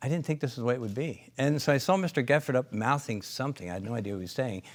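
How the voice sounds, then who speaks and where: Lively intonation from a man in an American accent. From Pennsylvania, US. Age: 60s. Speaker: company founder and chiropractor. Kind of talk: interview storytelling. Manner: hesitant, many fillers.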